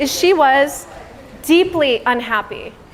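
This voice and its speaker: Over noticeable background noise, a woman with a Californian accent talks in an animated tone with lively intonation. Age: 30s. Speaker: public speaker. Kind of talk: motivational speech. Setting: stage with audience.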